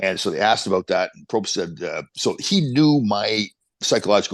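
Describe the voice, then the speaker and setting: A man with a Canadian accent over a quiet background. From Canada. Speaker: former hockey player, motivational speaker. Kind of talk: podcast interview.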